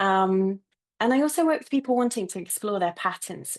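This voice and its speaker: A woman speaks with a British accent. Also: quiet background. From UK. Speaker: therapist and coach. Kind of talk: panel introduction.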